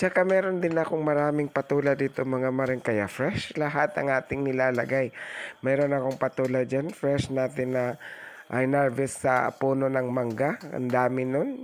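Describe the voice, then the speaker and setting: Noticeable background noise runs under this recording. The man speaks with fairly even intonation. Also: medium pitch for a man, moderate pace. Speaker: cooking vlogger. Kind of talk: voice-over cooking tutorial. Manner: casual, chatty.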